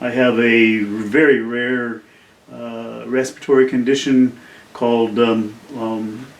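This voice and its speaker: Over noticeable background noise, a man speaks at a very slow pace with monotone, flat intonation and big swings in loudness. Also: medium pitch for a man. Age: 70s. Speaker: independent filmmaker. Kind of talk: casual video talk about a film project. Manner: halting, many fillers.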